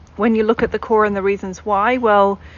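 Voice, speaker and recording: A woman with a British accent speaks at a medium pitch in a monotone, flat intonation. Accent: British accent, retained. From English Midlands. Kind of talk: panel talk.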